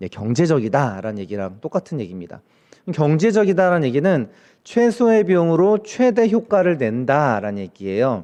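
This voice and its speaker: A man with a fairly high pitch and a dark, mellow tone makes very wide pitch swings against a quiet background. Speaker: professor. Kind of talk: lecture. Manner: fast.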